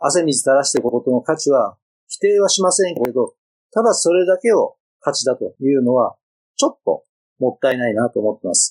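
Close and dry with no echo, a man's voice moves at a fairly quick pace. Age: 50s. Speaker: company founder, public library and museum producer. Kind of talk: podcast interview.

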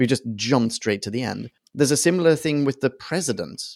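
The recording is dry and close, without any echo. A man talks with pitch that shifts in a normal way. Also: very clean recording, silent background. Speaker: podcast host. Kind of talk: casual chat. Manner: animated.

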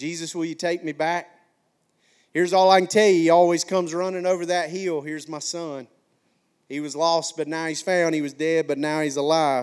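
With a slight Alabama accent, a man talks at a fairly quick pace in a high pitch. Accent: slight Alabama Southern. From McCalla, Alabama (US South). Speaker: pastor. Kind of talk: sermon. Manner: animated.

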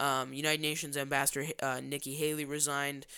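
A man's bright, sharp, upbeat voice at a very fast pace, in a very clean recording with a silent background. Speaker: podcast host. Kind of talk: political podcast co-host patter, promoting the show and teasing upcoming segments. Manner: fluent radio-style delivery with many filler 'uh's and restarts; upbeat, announcer-like, with teasing segment lead-ins.

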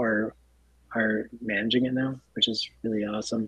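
A man at a medium pitch and moderate pace, with monotone, flat intonation. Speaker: clinic executive officer, guest. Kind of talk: casual radio interview.

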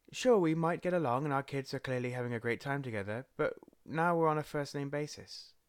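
A man with an English accent at a fairly quick pace, his pitch fairly high with ordinary variation, on a very clean recording with a silent background. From England. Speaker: podcast host, father and social media manager. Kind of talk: solo podcast monologue. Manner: casual with frequent fillers.

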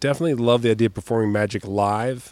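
A man with a plain, everyday voice, medium in pitch with ordinary variation, comes through dry and close with no echo. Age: 40s. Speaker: comedian and magician. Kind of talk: casual chat.

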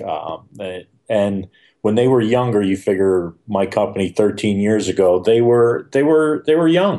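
A man's plain, everyday voice, fairly low in pitch, at a moderate pace. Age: 50s. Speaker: nature photographer and workshop leader. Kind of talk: casual interview.

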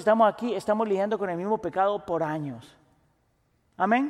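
In a very clean recording with a silent background, a man talks in a high voice. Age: 40s. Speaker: pastor. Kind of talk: sermon.

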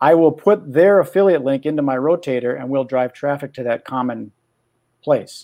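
A man with an American accent speaks in a fairly high pitch with a dark, mellow tone. His pace is moderate, his pitch variation ordinary, and the background quiet. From Minnesota. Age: 60s. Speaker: magician and podcaster. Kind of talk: coaching session.

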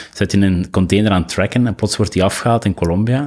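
The speaker talks in a Flemish accent with fairly even intonation. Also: man. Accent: Flemish Dutch. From Belgium, East Flanders (Lokeren, Ghent). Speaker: designer and entrepreneur. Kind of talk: casual interview conversation.

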